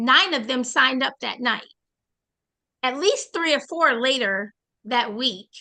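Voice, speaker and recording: A woman's high, bright, sharp voice, raised and projected, with an American accent, lively intonation, fairly slow pace and long, frequent pauses over a quiet background. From Boston. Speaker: network marketing trainer. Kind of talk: online training session.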